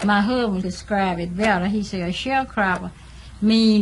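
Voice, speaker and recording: An American accent comes through at a moderate pace with fairly even intonation. Audible room echo and noticeable background noise surround the voice. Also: woman. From US South, Mississippi Delta. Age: 60s. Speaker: former sharecropper. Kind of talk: documentary interview.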